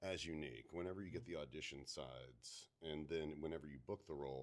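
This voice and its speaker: With vocal fry, a man talks at a moderate pace. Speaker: voice actor. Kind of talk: interview answer. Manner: casual, conversational.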